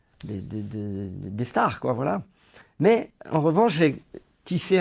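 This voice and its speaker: Speaking at a fairly slow pace, a man with a Corsican accent lets his pitch swing very widely. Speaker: actor and comedy filmmaker. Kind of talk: interview. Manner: hesitant, many fillers and repetitions.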